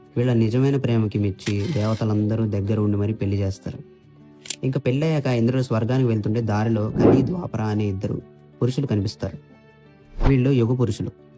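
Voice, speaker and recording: A man speaks at a medium pitch with ordinary pitch variation. Music plays in the background. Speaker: voice-over storyteller. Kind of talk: mythological story narration. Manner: emotional, heartfelt.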